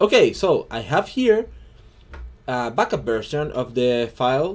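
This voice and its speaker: The speaker is a man. He has a Chilean Spanish accent. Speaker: hobby digital artist. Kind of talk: tutorial. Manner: halting, many fillers and repeats.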